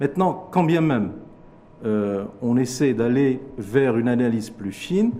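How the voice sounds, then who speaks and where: Audible room echo surrounds a man speaking at a fairly slow pace. His pitch is medium, and his intonation is lively. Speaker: economist. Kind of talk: TV interview. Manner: formal.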